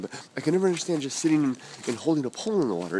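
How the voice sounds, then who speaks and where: Very fast speech comes from a man. The intonation rises and falls in a lively way. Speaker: vlogger. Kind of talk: stream-of-consciousness vlog monologue. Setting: outdoors, walking. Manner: halting, many repetitions and fillers.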